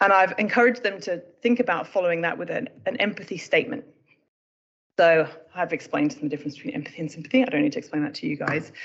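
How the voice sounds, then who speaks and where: A woman with a British accent speaks at a very fast pace. Her pitch is medium, with very wide swings. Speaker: emergency medicine doctor. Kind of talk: presentation.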